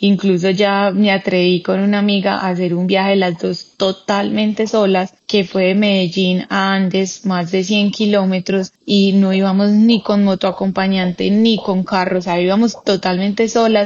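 A woman at medium pitch, in monotone, flat intonation, with very even loudness and a fairly slow pace. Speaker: cyclist and cancer survivor. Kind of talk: casual interview conversation.

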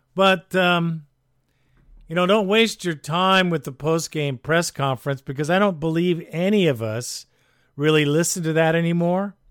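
Recorded with a dry, close sound and no echo, a man talks at a moderate pace in a high voice with ordinary pitch variation. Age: 60s. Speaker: fan podcast host. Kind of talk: casual commentary and call-in show. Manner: animated.

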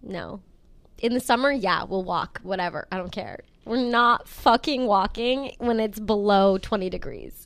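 A woman speaks at a fairly slow pace in a normal speaking voice. Her pitch is fairly high, with ordinary variation. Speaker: podcast host. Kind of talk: casual chat.

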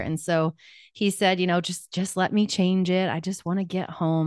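A woman with a US Midwestern accent talks at a fairly quick pace and a fairly low pitch. The background is quiet. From Kansas, US Midwest. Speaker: life coach. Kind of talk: interview testimony.

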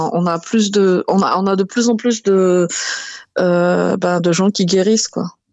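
Her medium-pitched voice moves at a very slow pace with fairly even intonation. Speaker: soap maker. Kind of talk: casual chat.

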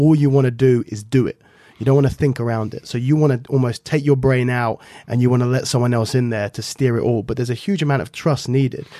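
With an English accent, a man talks very fast at medium pitch, his dark, mellow tone carrying fairly even intonation. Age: 20s. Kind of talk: casual chat.

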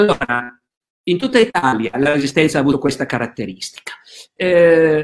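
At a moderate pace, a man is speaking. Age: 60s. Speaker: historian. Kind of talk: interview. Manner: halting, many fillers.

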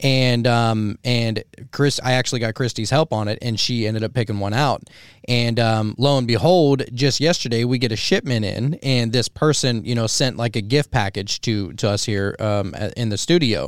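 An unremarkable speaking voice with an American accent moves at a moderate pace with ordinary pitch variation, captured in a very clean recording against a silent background. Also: man, medium pitch for a man. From Pennsylvania. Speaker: podcast host. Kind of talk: casual chat.

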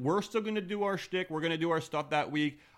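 A man's voice with ordinary pitch variation, in a very clean recording with a silent background. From Montreal, Canada. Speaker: podcast host. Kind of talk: casual banter about wrestling. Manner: animated, jokey.

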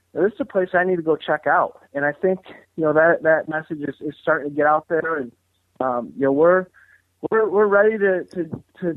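Using a normal speaking voice, a man with a fairly high pitch and ordinary pitch variation talks at a fairly quick pace. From Battle Creek, Michigan, US. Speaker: college wrestling coach. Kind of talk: casual interview chat.

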